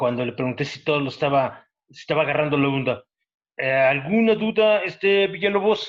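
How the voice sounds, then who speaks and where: A plain, everyday voice from a man, fairly high in pitch, with lively intonation and a fairly quick pace. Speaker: university professor. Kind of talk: lecture.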